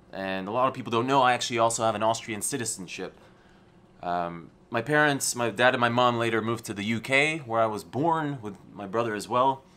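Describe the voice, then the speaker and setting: With an American accent, a man talks at a fairly quick pace in a bright, sharp tone, his medium pitch showing ordinary variation. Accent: American-schooled English. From Poland. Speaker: entrepreneur and motivational YouTuber. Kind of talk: vlog talking to camera.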